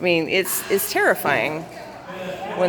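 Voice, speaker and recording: A woman with a Southern US accent at a moderate pace, fairly even intonation, audible room echo, and crowd noise in the background. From US South. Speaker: vlogger. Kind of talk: personal vlog monologue. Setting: waiting room at city hall.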